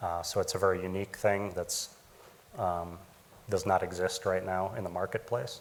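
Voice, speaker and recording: A man speaks with a Midwestern accent. His pace is moderate. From US Midwest, Wisconsin. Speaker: startup founder. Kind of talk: pitch presentation. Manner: many filler ums.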